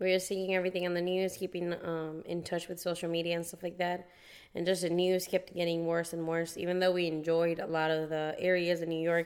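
In a Puerto Rican accent, a woman talks at a fairly quick pace with a monotone, flat intonation. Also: fairly low pitch for a woman. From Puerto Rico. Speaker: teacher, podcast co-host. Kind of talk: casual chat.

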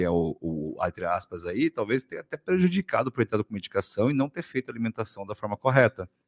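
A man speaks at a very fast pace with hardly any pauses and very wide pitch swings. The sound is dry and close with no echo. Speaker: podcast host. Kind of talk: casual interview chat.

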